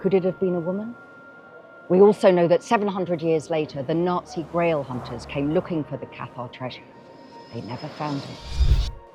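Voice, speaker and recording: With music in the background, a woman speaks at a moderate pace and a fairly low pitch, her intonation lively and her loudness swinging widely. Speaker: novelist. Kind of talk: promotional talk about her novel.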